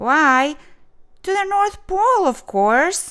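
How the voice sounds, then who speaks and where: A squeaky put-on character voice from a woman, extremely high-pitched, with very wide pitch swings and a very slow pace. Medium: read story.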